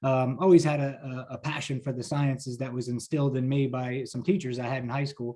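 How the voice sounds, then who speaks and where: The voice moves at a very fast pace and is somewhat breathy. Its tone is dark and mellow. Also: man. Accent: New Jersey. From New Jersey, US. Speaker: pharmaceutical sales leader. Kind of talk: interview. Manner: energetic.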